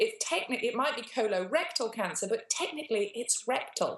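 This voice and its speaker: A woman's high voice with very wide pitch swings and a British accent. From England. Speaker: cancer survivor. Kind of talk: interview answer.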